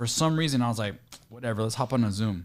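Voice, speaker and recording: With an American accent, a man talks very fast with ordinary pitch variation. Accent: Mexican accent, but more American. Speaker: real estate investor, interviewer. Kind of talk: casual chat.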